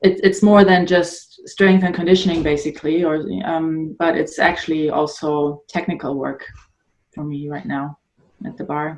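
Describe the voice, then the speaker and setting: With a German accent, a woman speaks at a moderate pace and a fairly low pitch, her intonation fairly even but her loudness swinging widely. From northern Germany. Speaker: adult ballet dancer and blogger. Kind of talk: podcast interview. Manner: halting.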